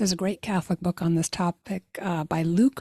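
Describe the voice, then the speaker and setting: A woman's fairly low, somewhat breathy voice, dark and mellow in tone, with a dry, close sound without echo on a very clean recording with a silent background. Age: 60s. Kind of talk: inspirational talk.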